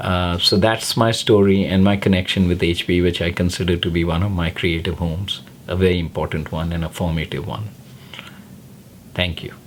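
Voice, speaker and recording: Noticeable background noise surrounds a man speaking at a moderate pace. His very deep, low voice stays monotone and flat. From North India, Lucknow. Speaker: filmmaker and film teacher. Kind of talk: personal testimonial, direct to camera.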